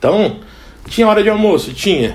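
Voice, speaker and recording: A man rushes through his words at a very fast pace amid noticeable background noise. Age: 30s. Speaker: cook. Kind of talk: casual interview.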